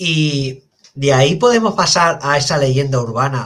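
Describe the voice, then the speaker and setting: Over a quiet background, a man speaks at a fairly slow pace in a fairly high voice with ordinary pitch variation. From Spain. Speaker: podcast host and police officer; podcast host. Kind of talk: interview. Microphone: headset.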